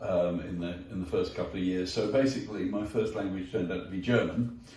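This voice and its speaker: A man with a southern English accent has a dark, mellow tone that is somewhat breathy. His pitch varies in an ordinary way, and audible room echo surrounds his voice. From southwest London, England. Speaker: entrepreneur. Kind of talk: interview. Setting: garden pavilion at home. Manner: halting, many fillers and restarts.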